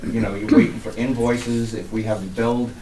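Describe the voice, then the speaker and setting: Speaking with an American accent at a fairly quick pace, a man with a medium pitch is heard through audible room echo and noticeable background noise. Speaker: water department superintendent. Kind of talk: budget presentation at public meeting.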